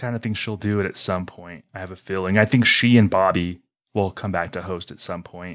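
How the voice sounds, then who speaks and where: A man with a very deep, low pitch talks at a fairly quick pace, with big swings in loudness. The recording is very clean, with a silent background. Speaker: podcast host.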